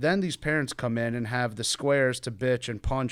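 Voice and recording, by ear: A passage is read out loud. The reader's voice is natural.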